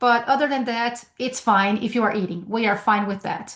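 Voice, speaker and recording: A woman's high voice with a Brazilian Portuguese accent, at a moderate pace. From Brazil, São Paulo. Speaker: sales trainer. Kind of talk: webinar presentation. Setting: video call from home.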